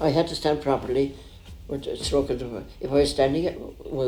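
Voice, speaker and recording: A man talks fairly quickly with a Cork accent. His pitch is fairly high and his intonation fairly even. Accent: Cork Irish. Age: 90s. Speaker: country doctor. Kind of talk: interview.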